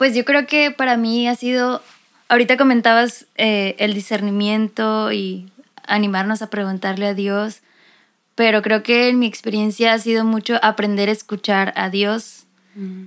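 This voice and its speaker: A woman's plain, everyday voice, fairly high in pitch, at a fairly slow pace with fairly even intonation. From Mexico, Mexicali. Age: 20s. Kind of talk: casual chat. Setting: recording in same room as other guest.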